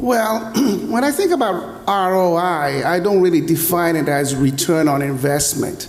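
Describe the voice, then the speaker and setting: Fairly slow, high-pitched male speech with lively intonation and audible room echo. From UAE. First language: Arabic. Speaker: tech entrepreneur. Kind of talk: panel discussion. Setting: stage with audience.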